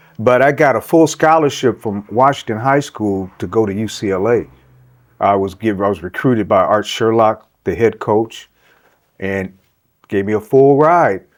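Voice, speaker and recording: The very clean recording, with a silent background, captures a man at medium pitch with ordinary pitch variation. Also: moderate pace. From Los Angeles, US West Coast. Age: 60s. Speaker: artist. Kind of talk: casual interview. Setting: at home.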